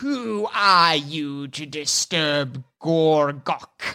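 A put-on character voice at a middle pitch hisses through a very slow delivery on a very clean recording with a silent background. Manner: hissing.

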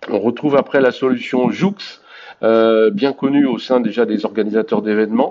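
Ordinary pitch variation marks a man's medium-pitched voice. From Brittany, France. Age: 50s. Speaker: sports event platform founder. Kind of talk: casual interview. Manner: halting.

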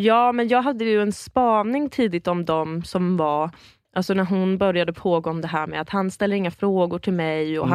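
A woman speaks in a normal speaking voice at a fairly quick pace. Her pitch is fairly low, with ordinary pitch variation. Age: 20s. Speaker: improv comedian. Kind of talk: casual chat.

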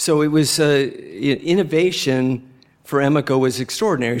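Pitched fairly high for a man, with ordinary pitch variation and a fairly slow pace, this is a plain, everyday voice. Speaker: furniture company CEO. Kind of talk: lightning-round interview at a live event. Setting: stage with live audience.

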